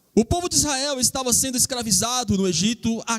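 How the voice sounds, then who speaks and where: A man speaks at a moderate pace with lively intonation and an extremely high pitch, in a dry, close recording with no echo. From Rio Grande do Norte, Brazil. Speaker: preacher. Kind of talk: sermon.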